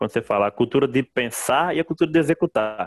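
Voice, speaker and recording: A man with a plain, everyday voice, fairly high in pitch, at a fairly quick pace with lively intonation and a dry, close sound with no echo. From Brazil, Northeast (Mossoró, Rio Grande do Norte). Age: 30s. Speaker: entrepreneur, engineer. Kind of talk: interview.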